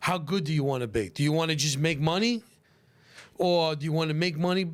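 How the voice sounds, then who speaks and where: With a Brooklyn accent, a man speaks in an animated tone at a fairly high pitch. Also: ordinary pitch variation, fairly quick pace, very even loudness. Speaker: pizzeria owner. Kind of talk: casual podcast chat. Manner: animated, repetitive.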